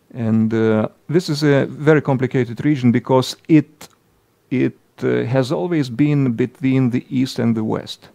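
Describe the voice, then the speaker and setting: A man's dark, mellow, medium-pitched voice with a Lithuanian accent, fairly slow pace, ordinary pitch variation, and dry, close sound with no echo. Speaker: politician. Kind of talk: political commentary monologue. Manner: halting, many hesitations.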